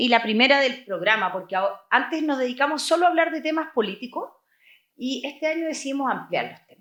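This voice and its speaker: A woman's high-pitched voice, bright and sharp in tone, with ordinary pitch variation and a fairly quick pace. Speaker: podcast co-host. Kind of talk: interview.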